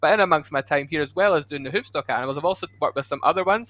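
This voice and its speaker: Very fast speech from a man with a bright, sharp tone and ordinary pitch variation. The sound is dry and close with no echo, over a quiet background. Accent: Scottish. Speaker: zoo education ranger, former zookeeper. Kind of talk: casual livestream interview.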